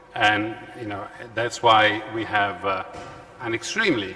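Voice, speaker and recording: A man speaks at a moderate pace with an Italian accent over noticeable background noise. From Italy. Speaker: law professor and panel moderator. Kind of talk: conference panel moderation. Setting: conference hall with audience. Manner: halting, many fillers.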